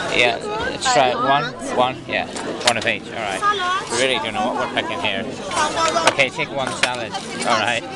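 Crowd noise sits behind a man speaking at a moderate pace with long, frequent pauses. The sound is dry, with no echo. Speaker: travel vlogger. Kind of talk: casual vlog chat. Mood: excited, amused. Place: cafe. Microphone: phone near.

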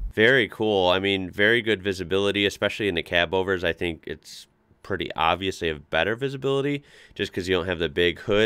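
At a very fast pace, a man speaks with a very deep, low pitch. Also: ordinary pitch variation, quiet background. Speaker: reaction video host. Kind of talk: casual reaction commentary. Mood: enthusiastic, impressed. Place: home room.

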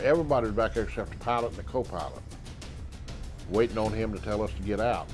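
Clear music plays in the background while a man speaks at a fairly quick pace. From South Carolina. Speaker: war veteran. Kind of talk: interview answer. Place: studio. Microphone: lapel.

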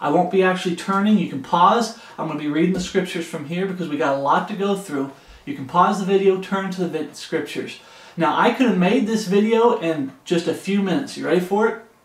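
In a room with audible echo, a high-pitched man talks fairly quickly with ordinary pitch variation. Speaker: home Bible teacher. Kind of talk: Bible study teaching. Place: home room. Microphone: camera far.

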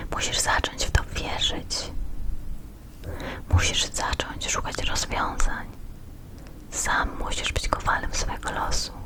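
Whispering very slowly with long, frequent pauses, a woman is heard over noticeable background noise. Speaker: ASMR creator. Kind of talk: ASMR card reading. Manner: whispered.

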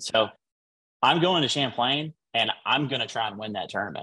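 Bright and sharp in tone, a man's voice moves at a moderate pace with ordinary pitch variation. The background stays quiet. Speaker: professional bass angler; interview guest. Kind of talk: casual interview. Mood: modest, pleased. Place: home room. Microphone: video call.

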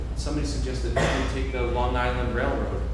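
There is noticeable background noise and strong room echo as a man speaks. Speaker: workshop facilitator. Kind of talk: workshop instruction. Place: hall. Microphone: camera far.

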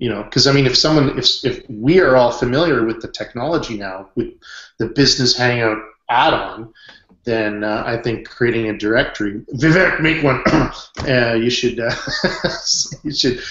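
Speaking with a Canadian accent at a moderate pace, the voice shows ordinary pitch variation amid audible room echo. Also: man, medium pitch for a man. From western Canada. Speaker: online business consultant; hangout host. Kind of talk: group video chat. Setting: video call. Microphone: webcam.

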